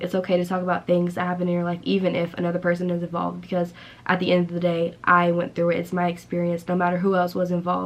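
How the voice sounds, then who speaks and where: At a very fast pace, a woman with a fairly low pitch speaks in a monotone, flat way. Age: 20s. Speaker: vlogger. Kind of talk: casual talk to camera.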